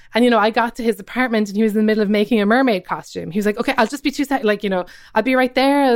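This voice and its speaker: A very fast delivery in a Cork accent with hardly any pauses and fairly even intonation, in a very clean, dry, close recording with a silent background and no echo. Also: woman. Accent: Irish, Cork. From Ireland, Cobh, County Cork. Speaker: comedian and writer. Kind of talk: casual interview.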